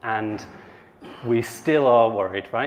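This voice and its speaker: Noticeable background noise sits under this man's voice, which shows ordinary pitch variation. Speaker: conference speaker on AI ethics. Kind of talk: conference talk.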